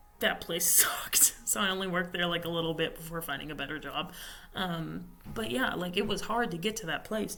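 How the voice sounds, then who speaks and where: With a fairly low pitch and ordinary pitch variation, a woman talks at a fairly quick pace amid audible room echo and noticeable background noise. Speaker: vlogger. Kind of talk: casual monologue. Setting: library study room. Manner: quieter; loud.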